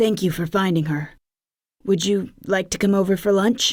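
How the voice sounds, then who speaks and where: Putting on a character voice with a medium pitch, a woman growls and hisses at a moderate pace. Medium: read story. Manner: hissing.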